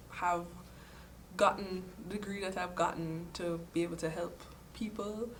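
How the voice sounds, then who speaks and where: Amid noticeable background noise and audible room echo, a woman at a medium pitch talks at a moderate pace with monotone, flat intonation. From Jamaica, Kingston. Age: 20s. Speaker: engineering student. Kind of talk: interview testimony. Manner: hesitant, with fillers.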